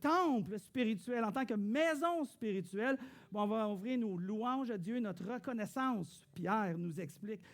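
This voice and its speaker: The speaker has a Quebec accent and lively intonation. The pace is moderate. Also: man. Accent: Québécois French. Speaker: pastor. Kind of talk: sermon. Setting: church.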